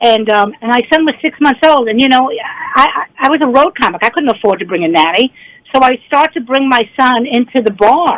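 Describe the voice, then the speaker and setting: A woman's high-pitched voice at a moderate pace, dry and close with no echo. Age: 60s. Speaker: stand-up comedian. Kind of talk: interview. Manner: halting, many repeated words.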